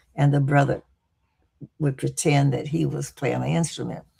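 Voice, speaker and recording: This is a woman speaking. She has a Texas accent. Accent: Southern US, Texas. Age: 80s+. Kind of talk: interview. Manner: halting.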